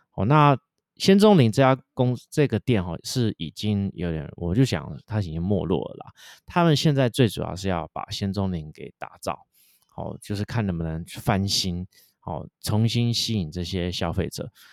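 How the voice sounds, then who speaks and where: With a Taiwanese accent, a man speaks at a fairly low pitch with lively intonation in a dry, close sound with no echo. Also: moderate pace, very clean recording, silent background. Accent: Taiwanese Mandarin. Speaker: investment podcast host. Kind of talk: solo commentary on a company. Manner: many fillers, hesitant.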